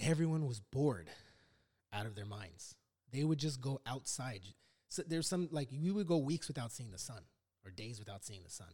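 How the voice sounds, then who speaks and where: With an American accent, a man speaks at a moderate pace in a somewhat breathy, dark, mellow voice of medium pitch, his pitch swinging very widely and his loudness swinging a lot, with long, frequent pauses. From Los Angeles, US. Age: 40s. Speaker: podcast host, Marine veteran. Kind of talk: casual chat.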